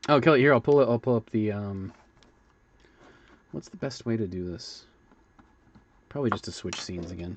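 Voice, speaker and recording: This man talks at a fairly quick pace with a medium pitch. Long, frequent pauses break up his speech, and his loudness swings widely. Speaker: sculptor and livestreamer. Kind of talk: casual livestream commentary. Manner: hesitant, many fillers.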